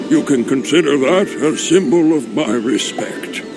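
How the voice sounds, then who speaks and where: Over loud background noise, a man puts on a character voice at a fairly high pitch and moderate pace. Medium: machinima. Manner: cheerful, casual.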